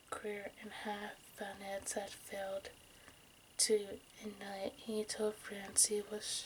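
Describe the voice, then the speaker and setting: Soft-spoken and monotone, a woman talks at a medium pitch and a very slow pace amid noticeable background noise. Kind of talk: true crime story reading.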